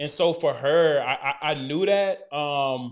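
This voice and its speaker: A man's fairly high voice with ordinary pitch variation at a very slow pace, in a very clean recording with a silent background. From Alabama, Decatur. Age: 30s. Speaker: co-host, former college football player with a doctorate. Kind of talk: casual interview.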